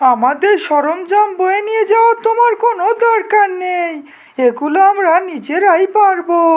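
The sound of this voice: This woman uses a cartoonish character voice at an extremely high pitch. Her pace is moderate.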